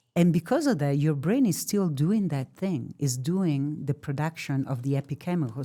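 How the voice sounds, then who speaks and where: With an Italian accent, a woman talks at a moderate pace with hardly any pauses, her very deep, low voice dark and mellow in tone with ordinary pitch variation. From Italy. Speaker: therapy dog expert. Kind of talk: podcast interview. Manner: halting; animated.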